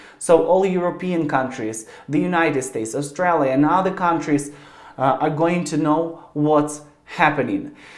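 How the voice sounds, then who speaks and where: With a Ukrainian accent, a man speaks at a fairly high pitch and a moderate pace. His intonation is fairly even, and audible room echo is present. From Ukraine. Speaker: YouTuber. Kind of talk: video address to camera. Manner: halting.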